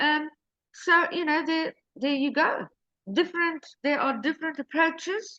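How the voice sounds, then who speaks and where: A woman speaks in a raised, projected voice at an extremely high pitch, bright and sharp in tone, with ordinary pitch variation. She talks at a fairly slow pace, and the sound is dry and close with no echo. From Mozambique. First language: Portuguese. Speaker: real estate agent. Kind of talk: interview. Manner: halting.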